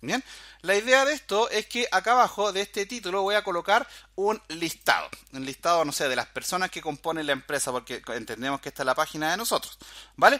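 Projecting a raised voice, a man speaks high and fairly quickly. His tone is bright and sharp, with very wide pitch swings. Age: 40s. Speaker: programming instructor. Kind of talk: tutorial. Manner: casual, filler-heavy.

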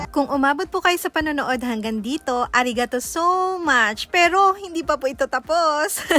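In a raised, projected voice with lively intonation, the speaker keeps a moderate pace with hardly any pauses, the sound dry and close with no echo. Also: woman, high pitch for a woman. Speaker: travel vlogger. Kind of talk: vlog narration. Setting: outdoors. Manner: animated.

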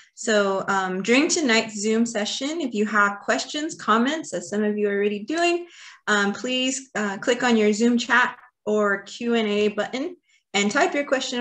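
A woman with an American accent speaks at a moderate pace with lively intonation. Hers is an unremarkable speaking voice. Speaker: nonprofit board member and webinar moderator. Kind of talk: webinar moderation. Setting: video call.

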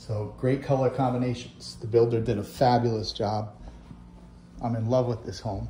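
In a dark, mellow tone with vocal fry, the speaker keeps a moderate pace and monotone, flat intonation, with light background noise and audible room echo. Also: man. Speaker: real estate agent. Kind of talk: home tour vlog. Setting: outdoors; open house, walking through a home. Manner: casual, conversational. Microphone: iPhone on a gimbal; phone near.

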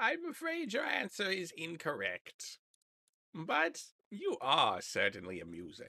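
The pace is fairly slow. The voice is a put-on character voice. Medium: actual play. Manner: teasing, mock-formal.

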